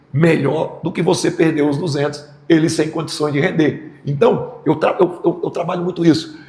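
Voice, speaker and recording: Noticeable background noise and audible room echo both fill the clip. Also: man. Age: 60s. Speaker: football coach. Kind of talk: press conference. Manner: halting, repeats words.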